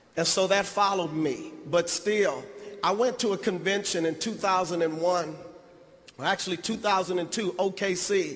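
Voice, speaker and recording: Using an American accent, a man speaks at a moderate pace and a high pitch. Audible room echo and noticeable background noise are present. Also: ordinary pitch variation. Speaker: motivational speaker. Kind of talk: convention keynote speech. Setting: stage with audience. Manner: emotional.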